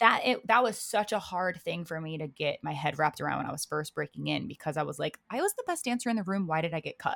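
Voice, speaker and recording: Recorded dry and close with no echo, a woman speaks at a very fast pace with hardly any pauses. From Maryland, US (Baltimore). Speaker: professional dancer and dance judge. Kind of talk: casual interview. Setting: home office.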